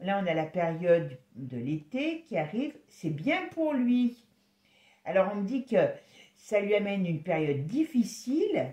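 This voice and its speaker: Somewhat breathy and dark, mellow in tone, a woman speaks at a medium pitch and fairly slow pace with very wide pitch swings. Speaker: tarot reader. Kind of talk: tarot reading video. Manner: casual, hesitant.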